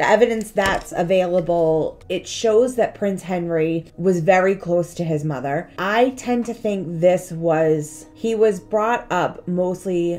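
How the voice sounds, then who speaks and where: A woman speaks at a fairly slow pace with ordinary pitch variation. Faint music plays in the background. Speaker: history vlogger. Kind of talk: casual history storytelling vlog. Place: home room. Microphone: phone near.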